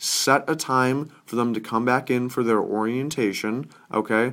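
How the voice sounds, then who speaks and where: At a fairly slow pace comes an unremarkable speaking voice, captured in a very clean recording with a silent background. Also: man. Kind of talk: sales pitch.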